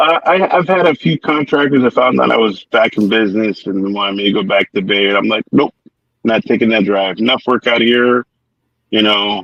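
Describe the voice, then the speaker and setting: With an American accent, a man speaks at a medium pitch and a moderate pace. His intonation is lively. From San Francisco Bay Area. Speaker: painting contractor, Navy veteran. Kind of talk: casual interview. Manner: halting, repeats words.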